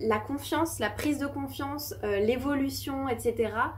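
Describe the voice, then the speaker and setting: The woman's speech is very slow in pace. Her words carry audible room echo. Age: 20s. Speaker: small business owner and YouTuber. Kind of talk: casual vlog talk to camera. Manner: hesitant, many fillers.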